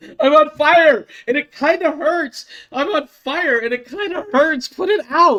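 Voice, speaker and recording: At a moderate pace, a high-pitched put-on character voice speaks. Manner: deadpan, flat understatement.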